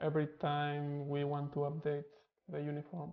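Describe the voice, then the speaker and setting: The speaker has a Spanish accent. The delivery is fairly slow. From Spain. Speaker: programming streamer. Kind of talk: live coding stream tutorial. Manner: casual, thinking aloud.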